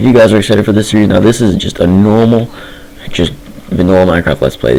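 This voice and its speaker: Against noticeable background noise, a man talks very fast at a fairly low pitch. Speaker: gaming youtuber. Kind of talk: gameplay commentary. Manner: fast, rambling. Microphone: poor mic quality.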